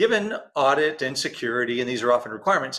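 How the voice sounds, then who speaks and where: Speaking at a fairly quick pace in a Texan accent, a man has a bright, sharp tone, a medium pitch and ordinary pitch variation. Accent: Texan American. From Texas. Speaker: interview host. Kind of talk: interview. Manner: fast.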